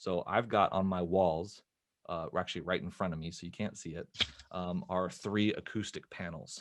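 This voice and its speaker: The man's pitch is very deep and low, and his intonation fairly even. He talks at a moderate pace against a quiet background. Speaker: filmmaker and film educator. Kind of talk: interview, explaining audio tips. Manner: talking quieter. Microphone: close to microphone in treated room.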